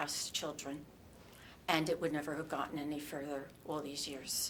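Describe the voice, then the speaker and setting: A woman talks with an American accent. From New Jersey. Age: 60s. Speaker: abuse survivor. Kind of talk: testimony. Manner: halting.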